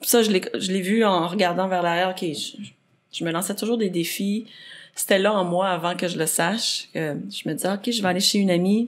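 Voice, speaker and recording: A woman speaks in a plain, everyday voice at medium pitch. Her pace is moderate and her intonation fairly even. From Quebec, Saint-Jérôme (Rive-Nord). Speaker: athlete and adventurer. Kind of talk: podcast interview.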